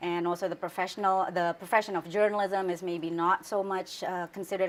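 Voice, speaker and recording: On a very clean recording with a silent background, a woman with an Indonesian accent and a medium pitch speaks at a fairly quick pace. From Indonesia, Central Java. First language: Javanese. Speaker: news anchor. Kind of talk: interview.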